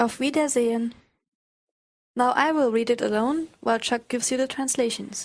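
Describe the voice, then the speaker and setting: A woman with a German accent speaks in a high pitch at a moderate pace, her loudness very even and her intonation fairly even, with long, frequent pauses. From Germany. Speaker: language teacher. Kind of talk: language lesson.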